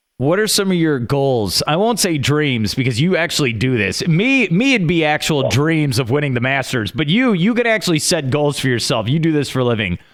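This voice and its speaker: A fairly high-pitched man talks at a fairly quick pace with hardly any pauses and very even loudness. His pitch swings very widely over noticeable background noise. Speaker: sports radio host. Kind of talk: radio interview. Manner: fast; mumbling at times.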